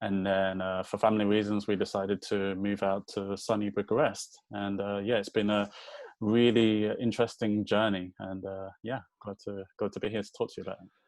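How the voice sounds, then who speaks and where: A man speaks in a Birmingham accent at a moderate pace. His fairly low pitch stays in a monotone, flat intonation. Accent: British (Birmingham). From England, Birmingham. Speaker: voice designer and developer. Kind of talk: podcast interview.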